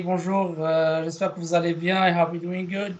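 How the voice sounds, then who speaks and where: Spoken at a moderate pace with a French accent, the voice stays monotone, its intonation flat. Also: man. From Morocco. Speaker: guest speaker, alumnus. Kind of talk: presentation. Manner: halting, many fillers.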